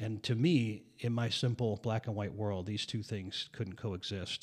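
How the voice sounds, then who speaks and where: A man with a plain, everyday voice, fairly low in pitch, with fairly even intonation, at a moderate pace. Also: very clean recording, silent background. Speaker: pastor.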